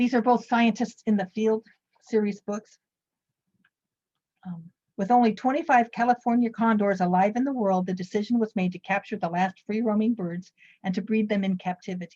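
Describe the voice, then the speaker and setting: A woman speaks in a fairly high pitch with a dark, mellow, somewhat breathy tone and fairly even intonation. Long, frequent pauses break up her speech, and the sound is dry and close with no echo. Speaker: librarian giving book reviews. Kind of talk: presentation of book reviews. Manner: fast.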